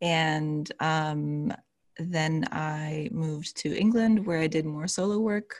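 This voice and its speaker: Speaking very slowly, a woman uses a very deep, low pitch with ordinary pitch variation. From former Yugoslavia. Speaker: belly dance teacher and podcast host. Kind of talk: casual interview chat.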